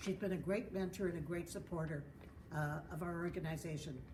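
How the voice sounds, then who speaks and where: Audible room echo surrounds a woman speaking at a fairly quick pace with a fairly low pitch and ordinary pitch variation. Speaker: board member of patient association. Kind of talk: speaker introduction. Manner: loud.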